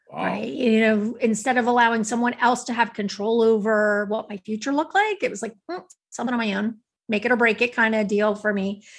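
Over a quiet background, a woman with an unremarkable speaking voice talks at a fairly quick pace, her fairly high voice keeping a fairly even intonation. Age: 50s. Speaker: author and speaker. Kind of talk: casual interview chat.

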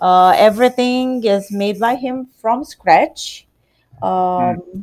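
Here a woman speaks very slowly. Her pitch sits in the medium range. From Romania. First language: Romanian. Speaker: pastry shop owner. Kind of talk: interview.

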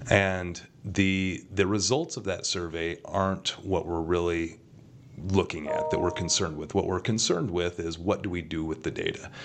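Noticeable background noise sits behind this man. His voice is very deep and low in pitch, with fairly even intonation. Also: moderate pace. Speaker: school district deputy superintendent. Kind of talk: interview.

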